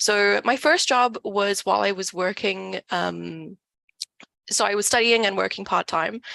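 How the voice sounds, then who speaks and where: The tone is bright and sharp, with ordinary pitch variation. Delivery is at a moderate pace in a dry, close sound with no echo. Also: woman. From South Africa. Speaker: data company community manager. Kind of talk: online event talk.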